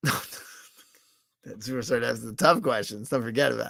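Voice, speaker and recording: A man talks at a fairly quick pace with a medium pitch. Vocal fry is audible in his voice. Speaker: livestreamer. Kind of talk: casual chat. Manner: rambling, halting.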